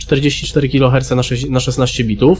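A man talks while music plays faintly behind him. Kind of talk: tutorial. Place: home room. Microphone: studio mic.

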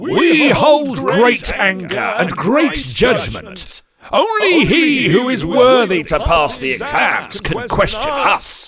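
A shrill, put-on character voice at a very slow pace, very wide pitch swings and hardly any pauses. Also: man, high pitch for a man. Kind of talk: archaic biblical pronouncement. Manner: shrieking, indignant, pompous.

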